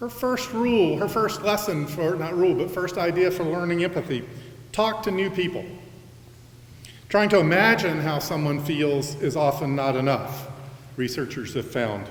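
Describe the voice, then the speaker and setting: A loud voice with lively intonation moves at a moderate pace, with audible room echo around it. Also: man. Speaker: college president. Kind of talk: convocation address.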